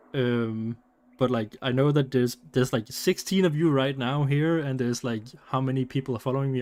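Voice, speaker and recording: This man speaks at a medium pitch with a Danish accent. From Denmark. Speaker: streamer. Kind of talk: casual live stream chat. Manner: halting, repeats words.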